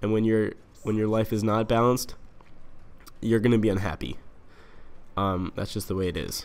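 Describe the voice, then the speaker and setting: Using a fairly low pitch and fairly even intonation, a man speaks at a moderate pace with long, frequent pauses. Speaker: gaming commentator. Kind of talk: casual monologue commentary. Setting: home lounge late at night. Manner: monotone.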